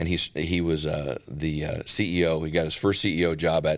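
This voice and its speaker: On a very clean recording with a silent background, a man with an American accent speaks in a very deep, low pitch and a monotone, flat intonation. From US Midwest, northern Minnesota. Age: 50s. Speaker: healthcare company founder and CEO. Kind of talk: casual interview.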